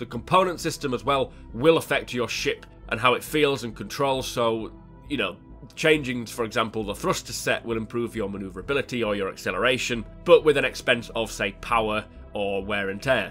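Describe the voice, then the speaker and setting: Music plays behind a man who talks at a fairly quick pace, with medium pitch and ordinary pitch variation. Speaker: gaming news host. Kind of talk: weekly gaming news show narration. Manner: casual, conversational.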